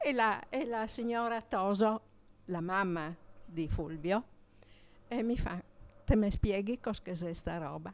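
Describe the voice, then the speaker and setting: Woman at medium pitch, ordinary pitch variation, very slow pace and long, frequent pauses. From Gorizia, Italy. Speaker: neighbourhood resident. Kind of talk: storytelling. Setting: bar with audience.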